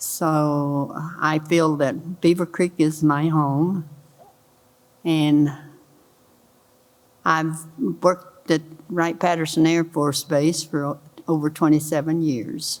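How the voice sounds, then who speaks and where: Very deep and low, a woman's voice moves at a very slow pace with long, frequent pauses and fairly even intonation. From Kentucky. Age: 90s. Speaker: elder panelist, retired base worker. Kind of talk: personal introduction on panel. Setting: church hall with audience.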